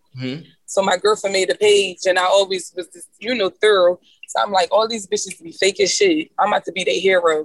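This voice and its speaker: A woman with an American accent speaks in a plain, everyday voice at a medium pitch and a fairly quick pace. Her intonation is lively, her loudness swings widely, and the sound is dry and close with no echo. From Philadelphia. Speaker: independent rapper. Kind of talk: casual chat. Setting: video call from a moving truck.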